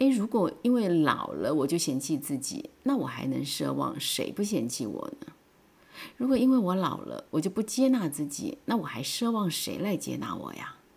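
A woman speaks in an animated tone with very wide pitch swings. Her pace is moderate. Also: medium pitch for a woman. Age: 50s. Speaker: podcaster. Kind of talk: personal monologue.

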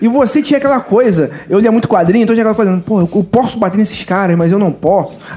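Talking at a very fast pace with hardly any pauses, a man uses a high pitch with ordinary pitch variation. His loudness stays very even, and there is noticeable background noise. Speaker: firefighter, very tall guest. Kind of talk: casual chat.

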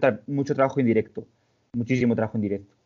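Here a man speaks with fairly even intonation. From Spain, León. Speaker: personal trainer and amateur bodybuilder. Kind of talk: casual chat.

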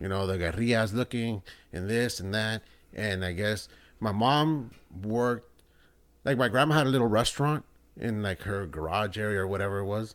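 A man has an unremarkable speaking voice at a fairly low pitch. His pace is moderate and his pitch variation ordinary. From El Salvador, raised in US. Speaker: band booster parent. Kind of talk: casual chat.

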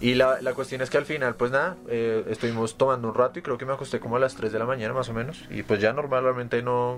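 A man talking very fast over noticeable background noise, his intonation fairly even. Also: medium pitch for a man. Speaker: podcast co-host. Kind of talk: casual chat.

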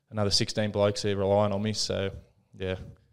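A man with an Australian accent, fairly low in pitch and flat, monotone in intonation, on a very clean recording with a silent background. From country New South Wales, Australia. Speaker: rugby league player. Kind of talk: casual interview.

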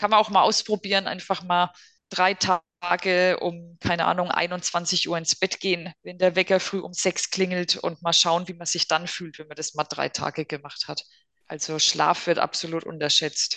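A woman talks in a bright, sharp tone with monotone, flat intonation and big swings in loudness. The sound is dry and close with no echo. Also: fairly low pitch for a woman, moderate pace. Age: 40s. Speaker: psychotherapy practitioner. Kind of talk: casual interview.

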